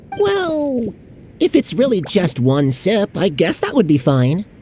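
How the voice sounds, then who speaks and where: A female-sounding, put-on character voice at medium pitch for a woman moves through very wide pitch swings at a fairly slow pace. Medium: video game. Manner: blunt, impatient.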